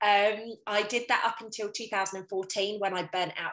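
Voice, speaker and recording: A woman's bright, sharp voice at a medium pitch and moderate pace, with a British accent. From UK. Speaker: intuitive coach. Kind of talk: casual interview chat. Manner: animated.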